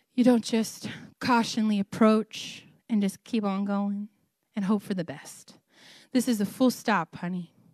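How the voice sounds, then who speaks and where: In a dry, close sound with no echo and a quiet background, a woman speaks at a medium pitch and a fairly slow pace. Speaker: guest preacher. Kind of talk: sermon. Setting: church. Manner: loud, animated.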